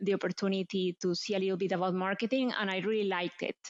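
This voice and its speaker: A woman with a Colombian accent speaks with fairly even intonation. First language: Spanish. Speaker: marketing executive. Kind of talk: interview.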